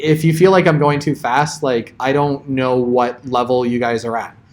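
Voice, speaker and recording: A man's fairly high voice holds a fairly even intonation. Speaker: college programming instructor. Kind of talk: lecture. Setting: classroom with students. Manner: fast.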